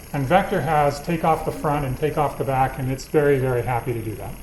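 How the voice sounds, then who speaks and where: Noticeable background noise and audible room echo are present. The man talks at a fairly quick pace. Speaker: university lecturer. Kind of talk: lecture. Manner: fast.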